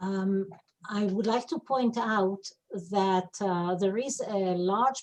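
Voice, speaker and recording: Using an Israeli accent, a woman speaks at a very slow pace with a medium pitch and ordinary pitch variation. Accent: Israeli Hebrew. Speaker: webinar attendee asking a question. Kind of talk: audience comment in webinar.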